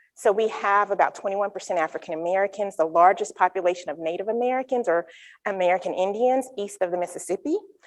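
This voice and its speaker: A woman with a North Carolina accent, fairly quick pace, quiet background. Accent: Southern US (North Carolina). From North Carolina, US South. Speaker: psychology researcher. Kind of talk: conference talk.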